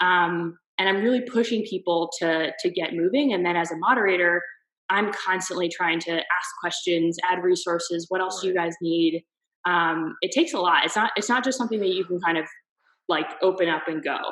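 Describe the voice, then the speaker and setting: A woman with an American accent talks at a fairly quick pace in a fairly low pitch with ordinary pitch variation. She has an ordinary speaking voice. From US East Coast. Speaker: marketer. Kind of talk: interview answer.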